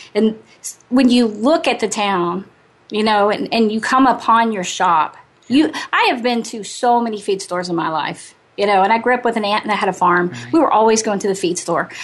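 A woman's fairly high-pitched, a normal speaking voice at a moderate pace, with ordinary pitch variation. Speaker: radio host. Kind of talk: casual radio interview.

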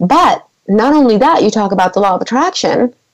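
A woman's fairly high-pitched voice. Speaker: life coach and motivational speaker. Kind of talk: radio interview with coaching talk; pep talk, motivational exhortation. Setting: radio show interview. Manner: emphatic, fervent, repeating for effect; uplifting, inspirational.

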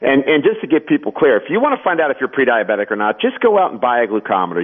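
There are very wide pitch swings in this man's fairly high voice. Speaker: doctor and pharmacist. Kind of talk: interview.

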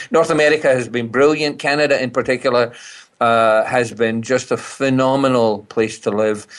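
A man speaks with a Scottish accent at a moderate pace. His medium-pitched voice has fairly even intonation. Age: 60s. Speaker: speaker and business consultant. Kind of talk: interview conversation. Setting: phone call from British Columbia.

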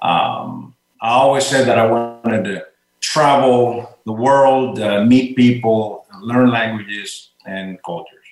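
Speaking at a very slow pace, a man with a Puerto Rican accent holds a medium pitch and fairly even intonation. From Puerto Rico. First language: Spanish. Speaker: retired army colonel. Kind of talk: interview. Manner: halting, many repeated words.

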